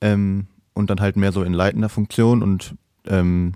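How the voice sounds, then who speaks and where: On a very clean recording with a silent background and a dry, close sound with no echo, a man speaks in a very deep, low pitch with a dark, mellow tone and monotone, flat intonation. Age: 20s. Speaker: altar server and parish council member. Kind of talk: casual interview. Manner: hesitant with many fillers.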